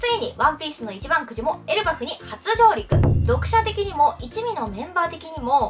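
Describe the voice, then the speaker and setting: Over music in the background, a woman talks at a moderate pace in an upbeat tone with very wide pitch swings. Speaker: freelance announcer. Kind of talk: casual talk to camera.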